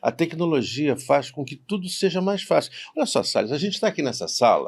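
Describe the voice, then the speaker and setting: A man speaks in a high pitch with lively intonation. The recording is very clean, with a silent background. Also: fairly quick pace. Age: 70s. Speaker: university professor. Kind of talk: podcast interview.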